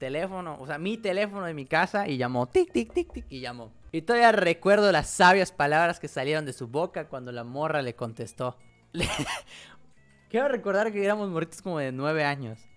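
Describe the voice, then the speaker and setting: A man talks at a fairly quick pace, his loudness swinging widely. Faint music plays in the background. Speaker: streamer. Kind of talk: casual storytelling to stream chat. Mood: amused, laughing often. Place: home room. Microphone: studio mic.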